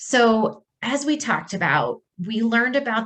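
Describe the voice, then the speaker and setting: This woman has an animated tone. Her delivery sounds animated throughout. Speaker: speech-language pathologist. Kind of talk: presentation. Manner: loud.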